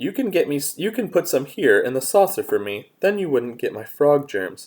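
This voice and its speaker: A man puts on a croaky character voice pitched high, at a moderate pace. The recording is very clean with a silent background. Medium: read story. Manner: teasing, stubborn.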